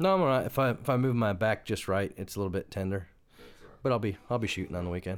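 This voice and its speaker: A man with an American accent talks at a very fast pace, his pitch fairly low and his intonation lively. The recording is very clean, with a silent background. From United States. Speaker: podcast co-host. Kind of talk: casual chat.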